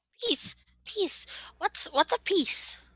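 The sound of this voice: A woman uses a put-on character voice with an extremely high pitch and a fairly bright tone. She speaks slowly with lively intonation, in a dry, close sound with no echo.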